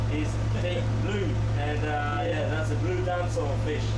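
Loud background noise fills the clip. A man talks at a fairly slow pace over it. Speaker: boat tour guide. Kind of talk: tour guide commentary. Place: boat.

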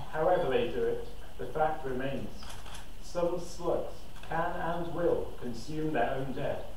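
Fairly slow speech from a man, amid light background noise and audible room echo. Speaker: spoken word poet. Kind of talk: performing a poem at a poetry slam. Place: cafe.

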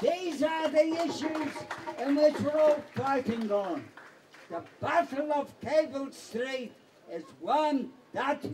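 Amid light background noise, a man with an extremely high pitch talks very slowly, with ordinary pitch variation. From East End of London. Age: 80s+. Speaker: anti-fascist veteran and former communist councillor. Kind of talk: political rally speech. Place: stage. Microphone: handheld.

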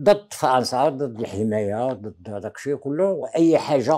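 A man speaks at a moderate pace in a dark, mellow tone, with ordinary pitch variation against a quiet background. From Morocco, Taza; Morocco. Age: 80s+. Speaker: veteran independence activist; interviewee. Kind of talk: interview testimony. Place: home room. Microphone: lapel.

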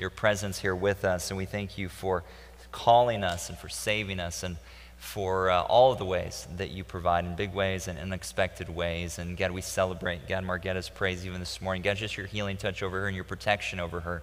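This man talks at a fairly quick pace in a very deep, low pitch, keeping his intonation fairly even. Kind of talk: announcement and prayer. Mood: calm, reverent. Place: church. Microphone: headset.

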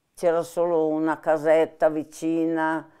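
A dark, mellow tone comes through with little sound in the background. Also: woman. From Milan, northern Italy. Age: 80s+. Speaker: former partisan, war witness; interviewee. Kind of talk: oral history interview. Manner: halting, with hesitations. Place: home room.

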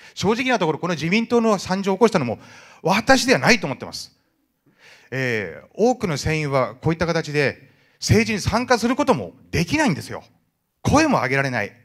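Against a quiet background, a man with a high pitch speaks at a fairly quick pace, with very wide pitch swings and big swings in loudness. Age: 50s. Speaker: merchant ship captain. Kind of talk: audience question at public meeting. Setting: indoor hall with audience. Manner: fast talker. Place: hall.

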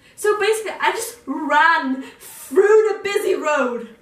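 A woman is speaking. Room echo is audible. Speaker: vlogger. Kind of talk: casual storytime vlog chat. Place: home room.

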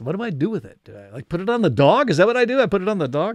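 Big pitch swings mark a man's high-pitched voice, delivered at a very fast pace.

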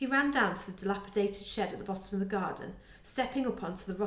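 The text is read aloud plainly, and the pitch varies in an ordinary way.

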